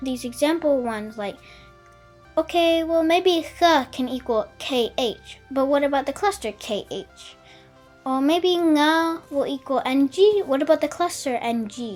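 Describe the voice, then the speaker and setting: Music plays in the background as a woman speaks at a fairly slow pace. Her voice is high, with lively intonation. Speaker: conlang tutorial maker. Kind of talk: tutorial narration.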